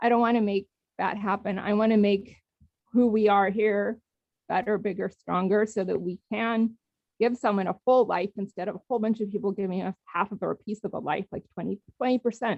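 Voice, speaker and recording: A woman speaks at a medium pitch and a fairly quick pace, her intonation flat and monotone. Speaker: public commenter at town hall. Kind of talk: public comment. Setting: phone call into video meeting. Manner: emotional.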